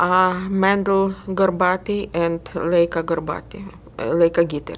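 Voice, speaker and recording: A woman speaks at a fairly slow pace in a medium pitch. Her intonation is flat and monotone. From Ukraine. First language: Russian. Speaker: interviewee. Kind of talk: oral history interview. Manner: halting.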